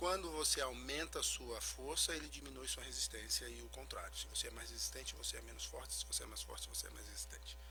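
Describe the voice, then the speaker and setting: A man with a very deep, low voice talks at a very fast pace, barely pausing, in a flat monotone. Music plays behind him, and the room echo is audible. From Brazil, Recife. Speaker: physical trainer and genetics consultant. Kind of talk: radio interview. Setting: radio studio. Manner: soft-spoken.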